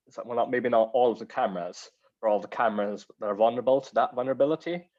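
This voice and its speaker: In a strong Welsh accent, a man talks very fast at a medium pitch with ordinary pitch variation. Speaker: cyber security speaker. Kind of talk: Q&A discussion.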